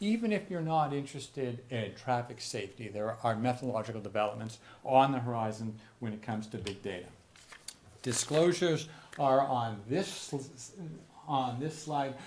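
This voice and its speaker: Lively intonation at a moderate pace comes through noticeable background noise and audible room echo. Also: man, medium pitch for a man. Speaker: physician and researcher. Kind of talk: lecture. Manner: halting with repetitions.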